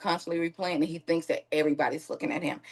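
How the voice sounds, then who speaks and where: Listen for a woman with a Southern US accent. Her pitch is fairly low. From Mississippi. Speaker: victim's aunt. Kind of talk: interview.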